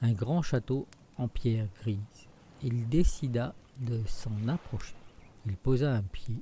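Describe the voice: The clip is a plain reading aloud.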